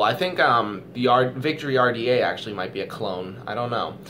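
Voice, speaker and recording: At a fairly quick pace and a medium pitch, a man speaks amid audible room echo. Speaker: vape reviewer. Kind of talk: casual chat. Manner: halting.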